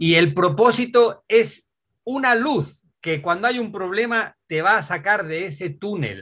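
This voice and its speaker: A high-pitched man with a bright, sharp tone, lively intonation and a fairly slow pace. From Asturias, Spain. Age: 50s. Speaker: adventure cyclist and author. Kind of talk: interview.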